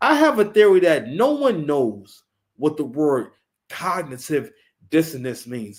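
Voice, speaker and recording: A man with a fairly high pitch speaks at a fairly slow pace in an animated tone, his pitch swinging very widely. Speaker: live stream commentator. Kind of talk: reaction commentary. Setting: live stream. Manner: stammering, repeats words.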